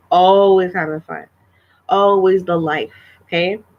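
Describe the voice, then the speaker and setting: A woman speaks quietly at a fairly low pitch. Her pace is fairly slow and her intonation fairly even. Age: 30s. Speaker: vlogger. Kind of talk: casual livestream chat. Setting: live stream. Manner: halting, repetitive.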